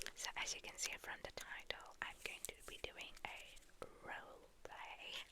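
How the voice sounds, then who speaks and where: Whispering from a woman, fairly slow in pace, over noticeable background noise. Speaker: ASMR creator. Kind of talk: casual talk to camera intro.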